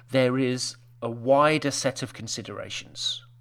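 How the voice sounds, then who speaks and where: In a British accent, the man talks at a medium pitch. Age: 50s. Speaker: web designer. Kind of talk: casual chat.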